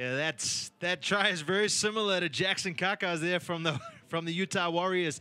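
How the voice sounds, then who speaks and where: At a moderate pace, a man speaks with a high pitch and ordinary pitch variation. His tone is upbeat, bright and sharp. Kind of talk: casual expert co-commentary analysing replays. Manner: relaxed, conversational, chatty; upbeat, a little cheeky.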